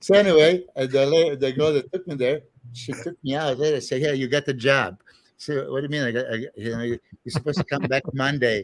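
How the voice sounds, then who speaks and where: Dry, close sound with no echo from a fairly high-pitched man talking at a very fast pace with ordinary pitch variation. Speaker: bodybuilder and trainer. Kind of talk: casual podcast interview, storytelling. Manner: animated, hesitant with fillers.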